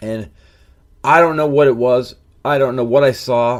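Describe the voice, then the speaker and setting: Against a silent background on a very clean recording, a man with a medium pitch speaks at a moderate pace in an animated tone. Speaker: podcast host. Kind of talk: personal storytelling.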